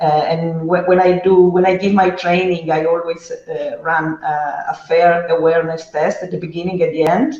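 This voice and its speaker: Speaking with an Italian accent at a moderate pace, the speaker leaves hardly any pauses. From Italy. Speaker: data trainer. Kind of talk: panel discussion. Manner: halting.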